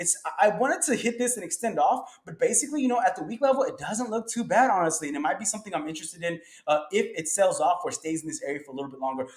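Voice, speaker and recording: Talking at a very fast pace with hardly any pauses, a high-pitched man makes very wide pitch swings and big swings in loudness against noticeable background noise. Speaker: stock market commentator. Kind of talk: tutorial. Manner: casual.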